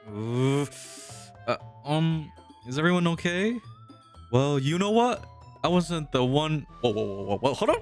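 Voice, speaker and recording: Music plays in the background. The speech moves at a fairly slow pace with long, frequent pauses. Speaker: game let's play narrator. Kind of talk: casual talk to camera.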